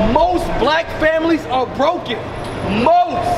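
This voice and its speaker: Noticeable background noise behind a man speaking. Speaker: bishop and street preacher. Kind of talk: street preaching. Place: street. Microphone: camera far.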